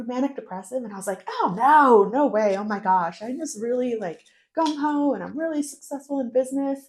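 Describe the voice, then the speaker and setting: A woman speaks at a moderate pace with an Inland North American accent. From US Northeast, northern New York State. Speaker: podcast guest. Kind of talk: casual interview, personal life story.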